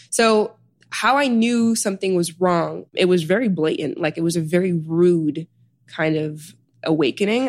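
This is an ordinary speaking voice with an American accent, moving at a moderate pace with ordinary pitch variation. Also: woman, very clean recording, silent background. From US Midwest, Chicago South Side. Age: 20s. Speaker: author and healer. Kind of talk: interview conversation.

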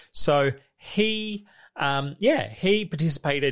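On a very clean recording with a silent background, a man with an Australian accent speaks with lively intonation. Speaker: podcast host. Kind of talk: casual chat.

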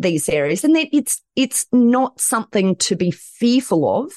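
Over a quiet background, a woman with a strong Australian accent speaks fairly slowly in an animated tone, her pitch swinging very widely. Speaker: lawyer and author. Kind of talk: interview. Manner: animated, high energy.

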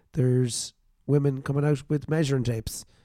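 With an Irish accent, a man speaks in a dark, mellow tone at a fairly quick pace, his intonation fairly even. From Ireland. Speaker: podcast host. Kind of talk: casual chat. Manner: jokey, laughs often.

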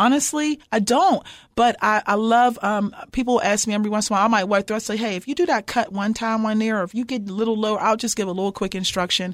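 A woman with an American accent speaks at a very fast pace with hardly any pauses, her fairly high pitch showing ordinary variation in an animated tone. The recording is very clean, with a silent background. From Pittsburgh, Pennsylvania, US. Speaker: professor and former basketball coach. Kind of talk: interview.

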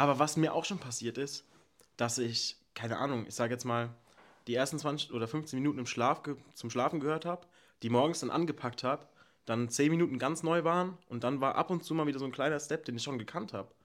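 At a fairly quick pace, a man talks in an ordinary speaking voice with fairly high pitch. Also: ordinary pitch variation. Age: 20s. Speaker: podcast co-host. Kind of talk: casual chat.

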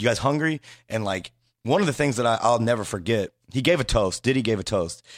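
A man with an American accent and an unremarkable speaking voice talks at a medium pitch and a fairly quick pace with lively intonation, in a very clean recording with a silent background and a dry, close sound with no echo. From Indiana, US Midwest. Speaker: hip-hop website founder. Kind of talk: casual interview chat. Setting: studio.

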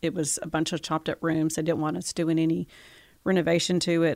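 A woman's fairly low, monotone, flat voice with a Southern US accent, on a very clean recording with a silent background. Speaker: gallery owner. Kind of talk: relaxed interview chat, conversational. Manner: easygoing, chatty.

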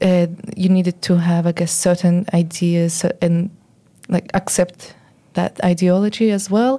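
A woman reads at a fairly slow pace with fairly even intonation and a fairly low pitch, her tone dark and mellow. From Israel, then Sydney. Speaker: activist, former ultra-Orthodox member. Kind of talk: interview. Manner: halting.

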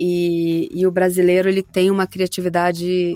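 Her voice is fairly low for a woman, with monotone, flat intonation. She keeps a moderate pace. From Rio de Janeiro, Brazil. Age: 30s. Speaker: voice actress. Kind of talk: interview.

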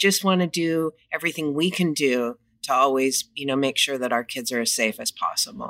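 A woman with a Californian accent, very deep, low pitch, lively intonation, and a dry, close sound with no echo. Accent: Californian American. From Los Angeles, US. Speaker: children's gym franchise owner. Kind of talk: casual interview.

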